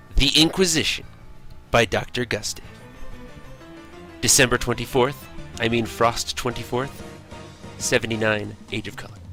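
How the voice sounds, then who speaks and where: With music in the background, a man speaks at a medium pitch and a moderate pace, with ordinary pitch variation, big swings in loudness, and long, frequent pauses. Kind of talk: read story. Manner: halting, unpolished reading.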